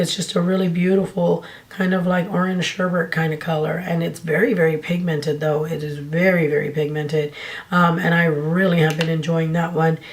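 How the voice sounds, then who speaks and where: The speaker moves at a fairly quick pace with monotone, flat intonation, over noticeable background noise. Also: woman, fairly low pitch for a woman. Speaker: beauty YouTuber. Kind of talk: casual talk to camera.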